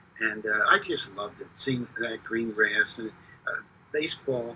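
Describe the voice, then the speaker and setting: Noticeable background noise sits behind a man speaking at a moderate pace with an American accent. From Philadelphia area, US. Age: 70s. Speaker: stadium public address announcer. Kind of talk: interview, casual chat. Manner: hesitant, many fillers.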